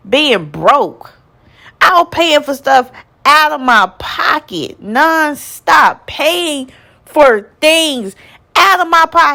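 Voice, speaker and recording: In a Southern US accent, a woman uses a raised, projected voice that is high and bright, sharp in tone. She speaks at a very slow pace with very wide pitch swings. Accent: Southern US country. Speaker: nonprofit founder. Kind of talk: motivational personal story to camera. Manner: passionate, energetic.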